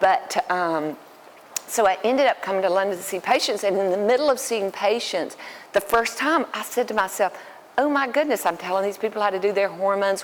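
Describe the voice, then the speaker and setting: A woman with a Southern US accent talks at a medium pitch. Her pace is fairly quick. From US South, Alabama. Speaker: dermatologist. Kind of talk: public talk. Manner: hesitant, many fillers.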